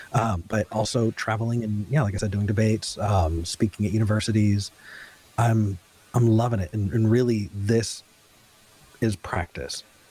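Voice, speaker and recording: A fairly low-pitched man's voice, somewhat breathy and dark and mellow in tone, with an American accent. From US West Coast, Ventura County, California. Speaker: talk show host and atheist activist. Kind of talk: casual interview. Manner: hesitant, frequent repetitions and fillers.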